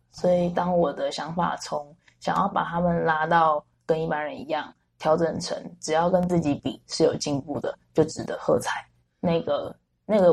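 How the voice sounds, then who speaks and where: A woman's fairly low, somewhat breathy voice at a moderate pace, with ordinary pitch variation. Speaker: special education teacher. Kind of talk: interview conversation.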